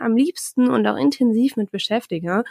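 A woman in an ordinary speaking voice, fairly high in pitch, at a moderate pace, with a dry, close sound with no echo on a very clean recording with a silent background. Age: 20s. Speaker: podcast host, master's student. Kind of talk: solo podcast monologue. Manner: chatty, with filler sounds.

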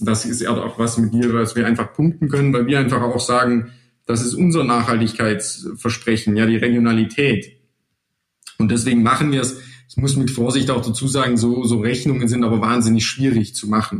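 A man talks with fairly even intonation. He has a normal speaking voice. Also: medium pitch for a man. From Swabian Jura, southern Germany. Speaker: clothing company sales and digital manager. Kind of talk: podcast interview.

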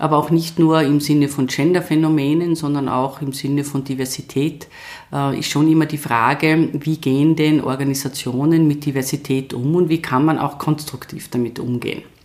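Speaking in a slight Tyrolean accent, a woman with a very deep, low pitch keeps a monotone, flat intonation at a moderate pace. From Tyrol, Austria. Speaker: university rector and professor. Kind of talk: interview.

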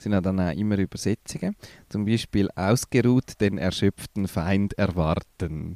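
A man with a fairly low pitch speaks at a fairly slow pace with ordinary pitch variation and a dark, mellow tone, in a dry, close recording with no echo that is very clean against a silent background. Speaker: podcast co-host, improv theatre trainer. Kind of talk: casual chat.

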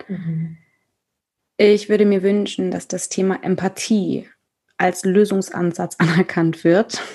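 A woman talks at a very slow pace with fairly even intonation. Her voice is somewhat breathy. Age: 30s. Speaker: theatre director and author. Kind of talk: casual chat. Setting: video call.

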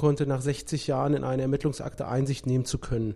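Speaking at a fairly quick pace, a man keeps a monotone, flat intonation. His tone is dark and mellow. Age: 30s. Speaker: lawyer and notary. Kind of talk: casual interview.

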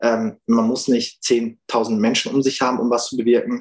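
A man talks at medium pitch with monotone, flat intonation. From Germany, Münsterland. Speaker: activist. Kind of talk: interview. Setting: video call.

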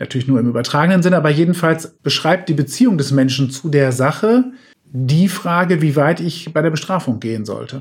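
Fairly quick and somewhat breathy, a man speaks at a fairly high pitch with lively intonation. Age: 40s. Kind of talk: expert interview.

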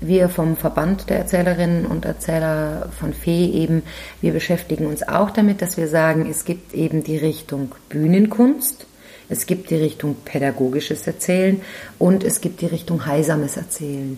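A woman speaks at a moderate pace in a fairly low pitch, with noticeable background noise. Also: ordinary pitch variation. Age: 50s. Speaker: professional storyteller and trainer. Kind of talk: interview.

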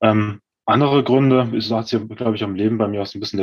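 A man talks at a very fast pace. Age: 30s. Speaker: former bodybuilding athlete. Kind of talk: casual interview.

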